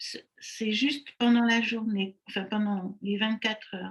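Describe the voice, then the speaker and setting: A woman speaks at a very slow pace. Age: 80s+. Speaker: online summit organizer and network marketer. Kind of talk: interview.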